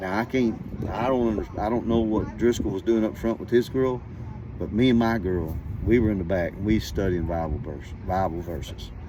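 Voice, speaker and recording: Through noticeable background noise, a man speaks fairly quickly at a fairly low pitch with ordinary pitch variation. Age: 60s. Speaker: storyteller. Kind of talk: casual storytelling. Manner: animated.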